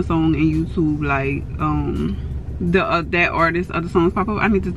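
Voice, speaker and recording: A woman's voice is recorded with a dry sound and no echo, with music in the background. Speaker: vlogger. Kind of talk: casual vlog chat. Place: car. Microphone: phone near.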